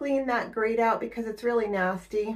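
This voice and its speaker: Against a quiet background, a woman speaks with fairly even intonation. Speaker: home cleaning vlogger. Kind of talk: casual vlog chat. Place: bathroom. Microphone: phone near.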